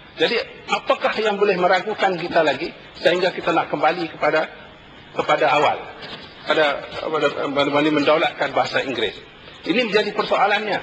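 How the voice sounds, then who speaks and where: A man talks at a fairly quick pace in a high pitch, with ordinary pitch variation and long, frequent pauses. Noticeable background noise runs behind him. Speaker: member of parliament. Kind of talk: parliamentary debate. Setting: parliament chamber.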